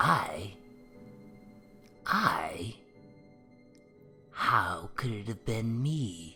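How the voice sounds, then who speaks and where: A man puts on a character voice at a medium pitch, speaking at a very slow pace with long, frequent pauses while clear music plays in the background. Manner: calm, tranquil.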